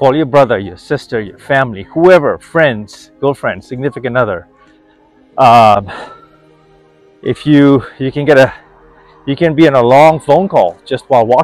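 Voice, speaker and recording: Faint background music under a man's dry, echo-free voice, at a moderate pace with long, frequent pauses. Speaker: wellness vlogger. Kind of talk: casual vlog chat. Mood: upbeat, encouraging. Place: street. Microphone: phone near.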